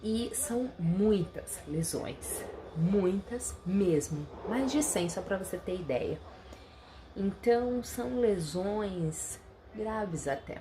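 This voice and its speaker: Over noticeable background noise, a woman with a medium pitch speaks at a very slow pace with lively intonation. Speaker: nutritionist and health vlogger. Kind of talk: casual vlog talk.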